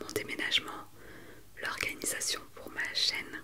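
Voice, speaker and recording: A woman whispers very slowly while noticeable background noise continues around her. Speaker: ASMR creator. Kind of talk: casual talk to camera, ASMR update.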